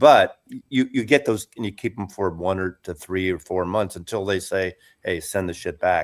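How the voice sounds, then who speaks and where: A man's very deep, low voice at a moderate pace, with ordinary pitch variation, in a very clean recording over a silent background. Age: 70s. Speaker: retired YouTuber and vinyl record collector. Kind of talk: casual chat.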